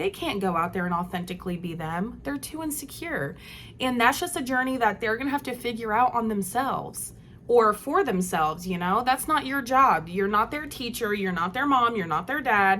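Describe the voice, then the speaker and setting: A loud woman's voice, fairly high and bright and sharp, animated in tone, with very wide pitch swings and a moderate pace. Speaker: vlogger. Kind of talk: casual monologue.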